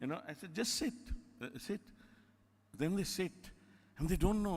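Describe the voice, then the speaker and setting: This man has a high pitch and speaks with an Indian accent. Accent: Indian accent, kept unchanged. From India (Calcutta, Bengali). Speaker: theatre director. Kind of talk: lecture. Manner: animated, conversational.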